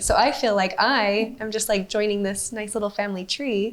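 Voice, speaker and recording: A woman talks at a fairly high pitch while noticeable background noise carries on behind her. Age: 30s. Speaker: podcast co-host. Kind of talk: casual chat.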